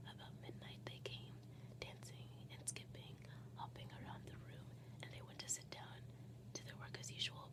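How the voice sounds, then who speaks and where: A woman whispers in a soft-spoken way. She talks at a moderate pace. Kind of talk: soft whispered story reading. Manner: soft, whispered.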